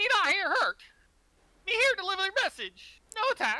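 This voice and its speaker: A loud, squeaky, put-on character voice sits at an extremely high pitch. It moves along at a moderate pace. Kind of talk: broken, simple speech.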